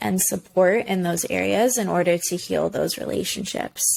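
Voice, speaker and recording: A woman talks at a fairly slow pace, mumbling her words. Her pitch sits in the middle range. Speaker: podcast host. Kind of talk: solo podcast talk.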